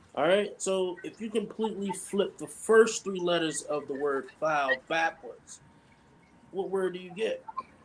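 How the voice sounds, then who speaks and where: Speaking slowly in an American accent, a man uses a high pitch with ordinary variation and big swings in loudness. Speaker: podcast co-host. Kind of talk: casual chat.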